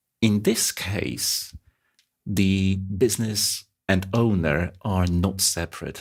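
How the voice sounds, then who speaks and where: A man's very deep, low voice with a non-native accent and monotone, flat intonation. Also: very clean recording, silent background. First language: not English. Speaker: finance exam tutor. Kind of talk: lecture. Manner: halting.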